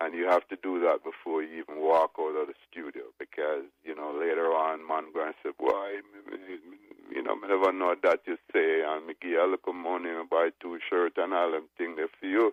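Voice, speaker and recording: At a moderate pace, a man talks with a Jamaican accent. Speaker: reggae record producer. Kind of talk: interview.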